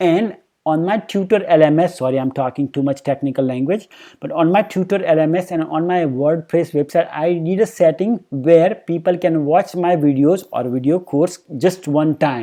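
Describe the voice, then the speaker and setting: Speaking with an Indian accent, a man uses a high pitch with ordinary pitch variation. His pace is moderate and the background is quiet. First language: Hindi. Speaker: YouTuber on personal finance. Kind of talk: casual vlog talk to camera. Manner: halting with many fillers.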